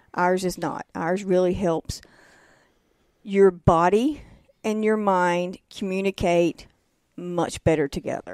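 A woman with a Southern US accent, very slow with long, frequent pauses, fairly even intonation, on a very clean recording with a silent background. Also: medium pitch for a woman, dry, close sound with no echo. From North Carolina. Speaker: massage therapist and former nurse. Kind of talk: interview. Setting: studio.

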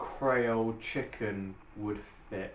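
A man speaks at a very slow pace. Audible room echo and light background noise surround him. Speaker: restaurant reviewer. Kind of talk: casual vlog chat. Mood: sarcastic, mocking. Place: home room. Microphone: camera far.

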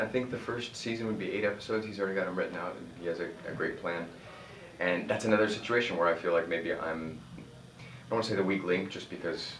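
A man talks at a very fast pace with ordinary pitch variation. Audible room echo and light background noise surround him. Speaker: actor. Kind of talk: interview answer. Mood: upbeat, proud. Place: home room.

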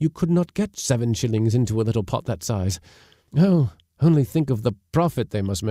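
Plain reading aloud with lively intonation over a quiet background.

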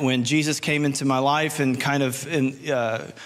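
His intonation is fairly even. The man keeps a moderate pace. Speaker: preacher. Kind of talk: sermon. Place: stage. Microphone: handheld.

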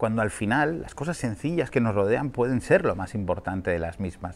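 A man's animated voice, lively in intonation, at a fairly quick pace. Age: 40s. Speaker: film critic. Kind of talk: film review.

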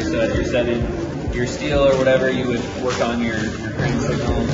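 Male speech over background music. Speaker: faculty tour guide. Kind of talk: guided tour explanation. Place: hall.

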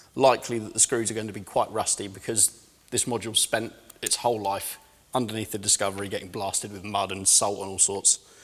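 Very fast speech from a man at a fairly low pitch, monotone and flat in intonation, with music in the background. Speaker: mechanic demonstrator. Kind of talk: tutorial. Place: workshop. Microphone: lapel.

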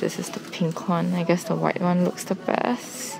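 Faint music sits in the background. A woman talks over it at a fairly slow pace. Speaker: vlogger. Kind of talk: casual vlog chat. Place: shop. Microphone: phone near.

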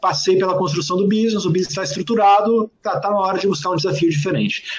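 A man speaks very fast at a high pitch. Light background noise is audible. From southern Brazil, Serra Gaúcha (Rio Grande do Sul). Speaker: entrepreneur and author. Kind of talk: interview. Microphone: earbuds.

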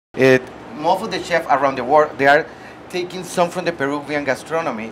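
The voice has a fairly bright tone and a fairly quick pace, with faint background noise. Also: man.

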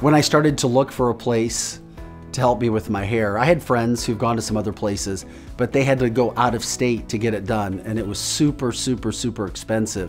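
A man with an American accent talks at a fairly quick pace. Faint music plays in the background. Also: medium pitch for a man, ordinary pitch variation. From St. Louis area, USA. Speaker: television news anchor. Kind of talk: customer testimonial to camera. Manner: conversational, sincere. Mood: upbeat, satisfied. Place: office. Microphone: lapel.

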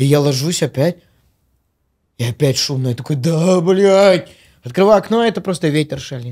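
Before a quiet background, a man with a fairly high pitch speaks at a moderate pace with lively intonation and long, frequent pauses. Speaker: podcast host. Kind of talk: casual chat. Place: studio. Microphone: studio mic.

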